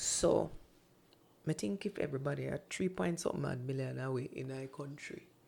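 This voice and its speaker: In a Jamaican accent, a woman talks at a moderate pace with an animated, playful tone. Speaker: radio producer and voice-over artist. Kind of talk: casual interview chat. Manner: animated, playful, laughs often.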